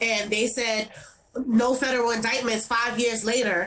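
With a New York accent, a woman speaks at a moderate pace and a fairly high pitch, with fairly even intonation and noticeable background noise. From New York City, Brooklyn (Brownsville). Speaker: activist, daughter of police violence victim. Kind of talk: interview.

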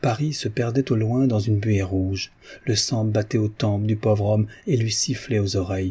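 Plain reading aloud proceeds with a fairly even intonation.

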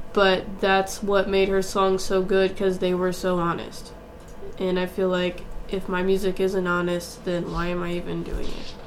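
A soft-spoken woman talks at medium pitch and a moderate pace, with monotone, flat intonation. Noticeable background noise is present. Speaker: singer-songwriter. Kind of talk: interview, casual chat. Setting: studio.

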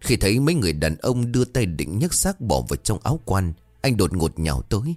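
Someone is reading aloud. The voice sounds natural.

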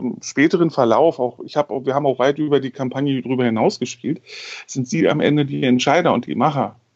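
Male voice in a mid range, its pitch moving in a normal way. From Berlin, Germany. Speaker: game master. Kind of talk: casual podcast discussion. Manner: halting with repetitions.

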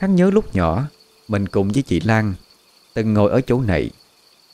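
This is an unforced reading voice. It is heard on its own here.

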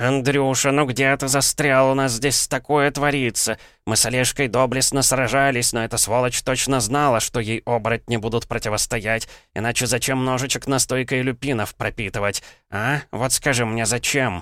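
Using a shrill put-on character voice at medium pitch, a man talks at a moderate pace. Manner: squealing on one note.

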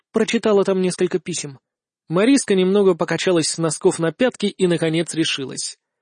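Over a quiet background comes plain reading aloud.

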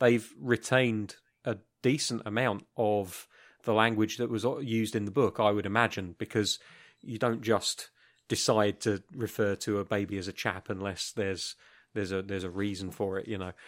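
With a British accent, a man talks at a fairly low pitch and moderate pace, his intonation fairly even, in a very clean recording with a silent background. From United Kingdom. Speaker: podcast co-host. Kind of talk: casual chat.

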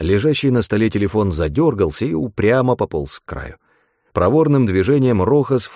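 The background is quiet as plain reading aloud rises and falls with lively intonation.

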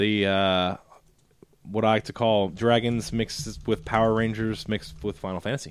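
A man uses an ordinary speaking voice, fairly low in pitch, with fairly even intonation at a moderate pace. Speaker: podcast co-host. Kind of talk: casual chat.

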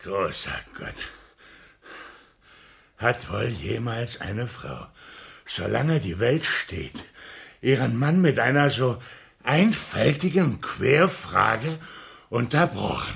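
In a put-on character voice, a man talks slowly with big pitch swings, a fairly bright tone and vocal fry. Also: medium pitch for a man.

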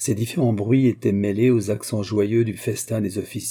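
The text is read aloud in a natural voice, its intonation fairly even throughout.

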